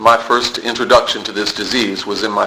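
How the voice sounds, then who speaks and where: A man with an American accent speaks at a fairly low pitch in a monotone, flat intonation. Noticeable background noise runs underneath. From US South, Palm Beach, Florida. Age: 50s. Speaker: recovery meeting speaker. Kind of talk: testimony. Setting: recovery meeting room. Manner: halting.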